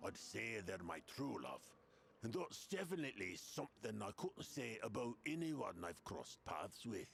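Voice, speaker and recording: Using a put-on character voice, a man speaks at medium pitch and a moderate pace over clear background noise. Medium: video game. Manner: cocky, rambling.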